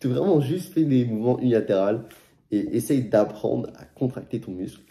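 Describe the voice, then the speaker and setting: The man's tone is dark and mellow. He speaks at a fairly slow pace with lively intonation. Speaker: fitness youtuber. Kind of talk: casual vlog advice. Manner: casual slangy.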